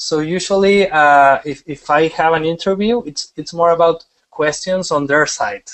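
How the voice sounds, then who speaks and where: A man speaks at a moderate pace with a strong Mexican accent. His pitch sits fairly high for a man and moves with ordinary variation. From Mexico. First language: Spanish. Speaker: wedding photographer. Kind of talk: webinar presentation. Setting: online webinar broadcast. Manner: halting, many repetitions; casual, animated.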